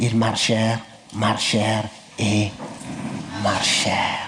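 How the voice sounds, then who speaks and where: Very slowly, a man gets his words out while noticeable background noise carries on around him. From northern Cameroon. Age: 40s. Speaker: storyteller, comedian. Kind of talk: comic folk tale told on stage.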